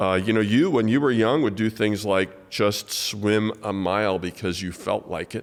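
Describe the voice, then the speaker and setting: Using a normal speaking voice, a man talks at a moderate pace with hardly any pauses, a fairly low pitch, and ordinary pitch variation. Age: 60s. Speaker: podcast host, pastor. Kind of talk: casual interview.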